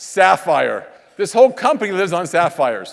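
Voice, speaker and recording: The man talks fairly slowly. His pitch moves in a lively way. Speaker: network marketing trainer. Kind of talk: motivational training talk on stage. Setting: stage with audience. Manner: animated.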